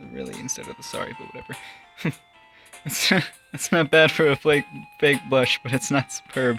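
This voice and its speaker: Moderate pace, long and frequent pauses, and music in the background. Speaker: gaming video host. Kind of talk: casual talk to camera, commenting on a game.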